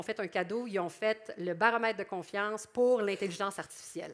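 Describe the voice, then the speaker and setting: This woman speaks with a Quebec accent and ordinary pitch variation. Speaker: public relations professional. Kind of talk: conference presentation. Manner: animated.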